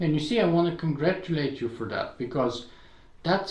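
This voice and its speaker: A man speaks with a high pitch and lively intonation. Audible room echo surrounds his voice. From Bulgaria. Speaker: podcaster and blogger. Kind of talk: interview conversation.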